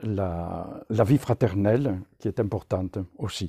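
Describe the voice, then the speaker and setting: Against a quiet background, a somewhat breathy voice with a dark, mellow tone speaks at a very slow pace with ordinary pitch variation. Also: man. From southern France, near Narbonne; southern France. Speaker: religious brother and deacon. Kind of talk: personal testimony. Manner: hesitant, many filler sounds. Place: home room. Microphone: phone near.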